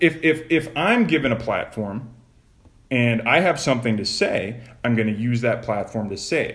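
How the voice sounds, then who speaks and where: Here is a plain, everyday voice at a moderate pace. Its intonation is lively. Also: man, medium pitch for a man. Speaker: podcast host. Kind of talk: casual chat.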